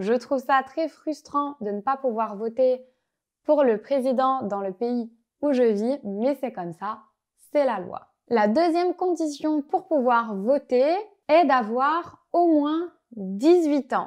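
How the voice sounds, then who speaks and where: The speech moves at a very slow pace with lively intonation. The background is quiet. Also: woman, high pitch for a woman. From Belgium. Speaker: French language teacher. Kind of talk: tutorial. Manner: clear, measured pace for learners.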